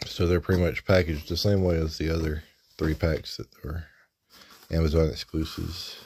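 A relaxed man speaks at a moderate pace in a very deep, low pitch, somewhat breathy, with monotone, flat intonation. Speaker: toy reviewer. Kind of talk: unboxing review. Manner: casual, relaxed. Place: home room. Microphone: phone near.

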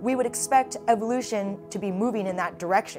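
Clear music in the background behind a woman speaking at a moderate pace. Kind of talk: interview answer. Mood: enthusiastic, animated. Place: office. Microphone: lapel.

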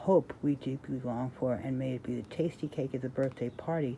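At a moderate pace, a woman with a very deep, low pitch speaks with ordinary pitch variation over noticeable background noise. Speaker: reader sharing a devotional book. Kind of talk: reading aloud with casual comments. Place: home room. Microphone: phone near.

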